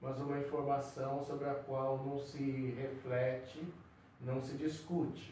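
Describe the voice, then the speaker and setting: Amid noticeable background noise and audible room echo, a man with a fairly high pitch speaks at a very slow pace in a monotone, flat intonation. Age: 70s. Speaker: psychiatrist. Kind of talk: interview conversation. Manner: halting.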